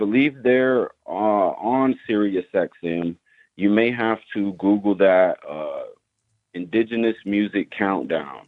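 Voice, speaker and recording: With an American accent, a man talks at a very slow pace in a fairly low voice. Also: ordinary pitch variation. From Oklahoma, Muskogee Creek Nation. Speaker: rapper and tattoo artist. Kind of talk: casual interview.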